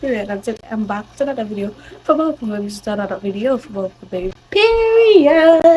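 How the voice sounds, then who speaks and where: A woman talks at a fairly quick pace with a fairly high pitch and lively intonation. Noticeable background noise runs underneath. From Trinidad and Tobago. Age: young. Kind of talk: casual storytime to camera.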